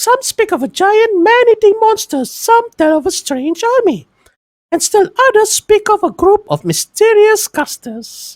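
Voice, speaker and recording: This is a squeaky put-on character voice. It moves at a moderate pace. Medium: read story. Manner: polite, informative.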